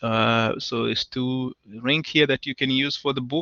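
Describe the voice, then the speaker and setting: The speaker has a plain, everyday voice. Intonation stays fairly even at a moderate pace. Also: man. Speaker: university professor. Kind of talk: lecture.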